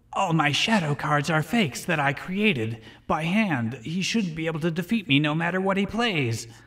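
A man speaks loudly at a moderate pace in a put-on character voice, fairly high-pitched and full of cackling. His smug, menacing tone rides on lively intonation with hardly any pauses. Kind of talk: comic overacting. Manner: smug, cackling, menacing.

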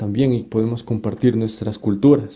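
Dark, mellow male voice at a moderate pace. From Latin America. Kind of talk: live debate. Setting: livestream. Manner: halting.

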